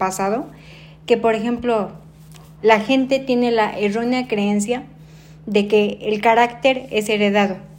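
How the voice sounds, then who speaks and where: A woman with a fairly high pitch and an unremarkable speaking voice talks at a fairly slow pace, her intonation fairly even. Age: 30s. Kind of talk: interview. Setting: at her home.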